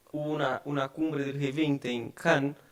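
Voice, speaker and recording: This man's fairly high voice keeps a fairly even intonation. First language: Portuguese (speaking Spanish). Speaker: tax advisor. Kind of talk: conference talk. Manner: halting, many fillers.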